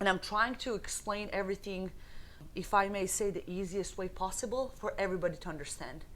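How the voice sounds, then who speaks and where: Ordinary pitch variation marks this voice, which carries a non-native accent. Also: woman, medium pitch for a woman, fairly quick pace. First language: not English. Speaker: fitness instructor. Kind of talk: tutorial.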